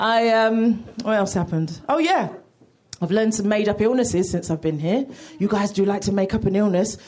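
A woman's medium-pitched voice, fairly quick, with ordinary pitch variation. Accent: British. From United Kingdom. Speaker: comedian. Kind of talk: stand-up. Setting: stage with audience.

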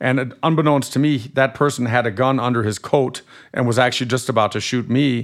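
Speaking with a slight German accent, a man moves at a fairly quick pace with fairly even intonation at a medium pitch, on a very clean recording with a silent background. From Germany. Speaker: lawyer and author. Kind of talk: casual interview.

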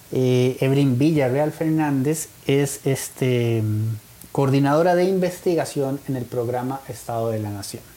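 This man talks in a Costa Rican accent at a fairly high pitch and fairly slow pace. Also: ordinary pitch variation. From Costa Rica (Turrialba). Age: 40s. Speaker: talk show host. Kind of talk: interview. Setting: in-person studio, streamed live.

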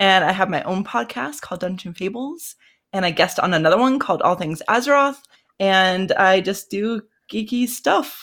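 In a plain, everyday voice, a woman speaks at a moderate pace with medium pitch and lively intonation. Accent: American. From Colorado, US. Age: 30s. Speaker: podcaster. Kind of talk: casual chat. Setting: video call.

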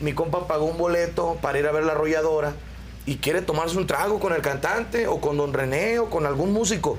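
Noticeable background noise behind a fairly high male voice, moderate in pace and ordinary in pitch variation. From Querétaro, Mexico. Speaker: band singer. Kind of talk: interview.

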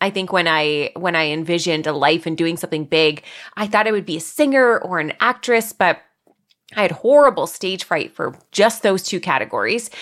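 In a very clean recording with a silent background, a woman with a Canadian accent and an ordinary speaking voice speaks at a moderate pace, her fairly low pitch rising and falling with lively intonation. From Ontario, Canada. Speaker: content creator and podcast host. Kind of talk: casual interview chat.

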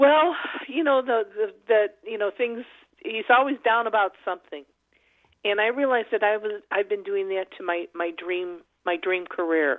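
This is a woman with an ordinary speaking voice, pitched fairly high. She talks at a moderate pace with lively intonation. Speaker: caller. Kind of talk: casual call-in chat. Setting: phone call.

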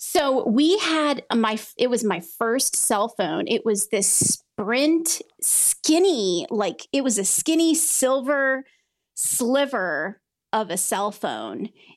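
A woman with an American accent speaks at a high pitch, her voice swinging very widely at a very slow pace. The recording is very clean, with a silent background. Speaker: pharmacy advocate. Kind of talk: casual interview conversation.

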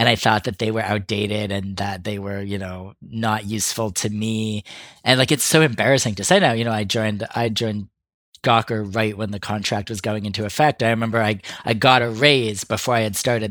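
The recording is very clean with a silent background. A man with a normal speaking voice, fairly low in pitch, talks fairly quickly with fairly even intonation. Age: 40s. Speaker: podcast co-host. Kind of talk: casual chat.

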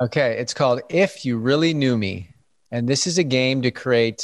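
A man's medium-pitched voice, an ordinary speaking voice with ordinary pitch variation at a moderate pace, over a quiet background. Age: 30s. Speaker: digital wellness coach. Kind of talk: interview.

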